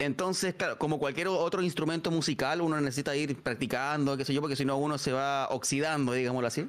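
A man with a fairly high voice speaks very fast, with hardly any pauses and fairly even intonation. The recording is very clean, with a silent background. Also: very even loudness. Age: 30s. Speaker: streamer and DJ. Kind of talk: casual interview. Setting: live stream.

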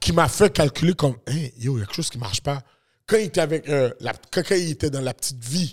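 A man speaks at a fairly quick pace and sounds somewhat breathy. The recording is very clean, with a silent background. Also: fairly high pitch for a man. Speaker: podcast co-host. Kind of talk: casual banter.

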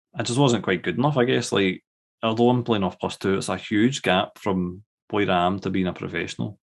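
A fairly low-pitched man at a fairly quick pace, with ordinary pitch variation and a quiet background. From Scotland. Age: 30s. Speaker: guest baseball fan. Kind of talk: casual conversation.

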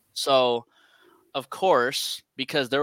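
The sound is dry and close with no echo as a man with an American accent talks with ordinary pitch variation. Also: very clean recording, silent background. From San Francisco, California. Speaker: podcast co-host and interviewer. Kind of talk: casual chat.

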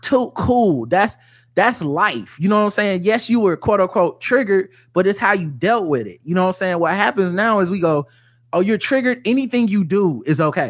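On a very clean recording with a silent background, a man with a high pitch speaks with an American accent. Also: lively intonation, fairly quick pace. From US South. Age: 40s. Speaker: podcaster. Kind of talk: casual chat.

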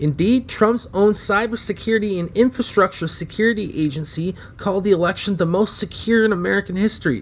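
A man talks at a high pitch with ordinary pitch variation. He moves at a fairly quick pace with hardly any pauses. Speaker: podcast host. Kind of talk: angry political rant. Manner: sarcastic, profane, scornful, heated.

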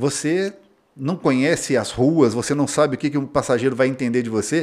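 Here is a man with a normal speaking voice and a fairly high pitch. His pitch varies in an ordinary way, and his pace is moderate. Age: 40s. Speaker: mechanic and auto repair business owner. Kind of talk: interview.

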